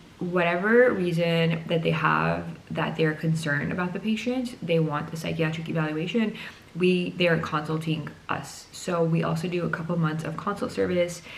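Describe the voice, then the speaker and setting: Noticeable background noise and audible room echo surround a woman speaking at a moderate pace with ordinary pitch variation. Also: fairly low pitch for a woman. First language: not English. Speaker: psychiatry resident doctor. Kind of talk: casual explainer vlog.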